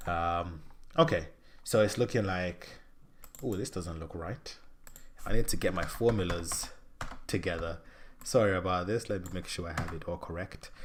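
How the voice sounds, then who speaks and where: Very deep and low, this man's somewhat breathy voice moves at a moderate pace with ordinary pitch variation. His loudness swings widely, and he leaves long, frequent pauses. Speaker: finance streamer. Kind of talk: live stream tutorial. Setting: live stream. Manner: hesitant, many fillers.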